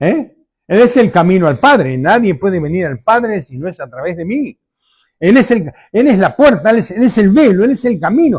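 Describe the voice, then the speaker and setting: Speaking at a moderate pace, a man uses a high pitch with very wide pitch swings. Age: 70s. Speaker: pastor. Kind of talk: sermon.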